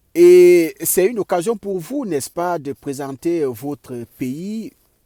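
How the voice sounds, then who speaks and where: Slowly, very slowly, a man with a Cameroonian accent speaks at a high pitch in a dark, mellow tone, with lively intonation and a dry, close sound with no echo. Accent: Cameroonian accent, kept. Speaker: vlogger, immigrant in the US. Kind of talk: vlog monologue. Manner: halting, many filler sounds.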